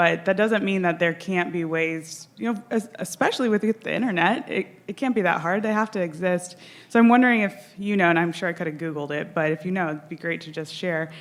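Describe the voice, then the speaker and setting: A woman speaks shakily at a fairly quick pace with ordinary pitch variation. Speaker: audience member asking question, surgeon. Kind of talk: conference Q&A question. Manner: shaky voice.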